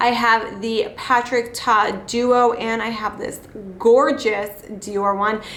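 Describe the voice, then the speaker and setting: A woman with an American accent speaks very slowly at a fairly high pitch, her intonation flat and monotone. There is noticeable background noise and audible room echo. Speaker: beauty vlogger. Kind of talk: casual makeup tutorial chat. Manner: casual, chatty.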